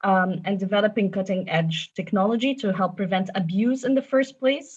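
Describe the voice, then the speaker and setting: Against a quiet background, a somewhat breathy woman at medium pitch speaks at a moderate pace with ordinary pitch variation. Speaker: tech company safety policy manager. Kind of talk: panel presentation. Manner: formal.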